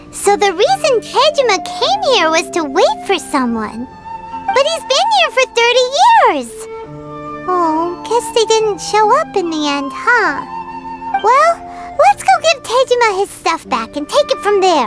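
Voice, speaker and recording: Using a put-on character voice, a woman speaks at a fairly slow pace in an extremely high pitch, with clear music in the background. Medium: fan dub. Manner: chatty, excitable.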